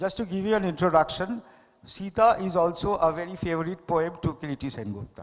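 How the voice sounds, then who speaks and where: The speaker has a Bengali accent. Delivery comes at a fairly quick pace. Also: man. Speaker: poet and painter. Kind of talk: literary festival dialogue. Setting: stage with audience. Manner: halting, with many fillers.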